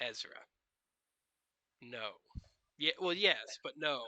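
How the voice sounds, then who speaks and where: Putting on a raspy, gruff character voice, a man speaks at a high pitch and fairly slow pace. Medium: actual play. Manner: gruff, curt, dismissive.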